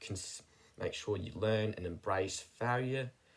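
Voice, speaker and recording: Somewhat breathy, a man speaks at a fairly slow pace with a fairly low pitch and fairly even intonation. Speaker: self-improvement YouTuber. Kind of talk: personal vlog monologue. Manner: monotone.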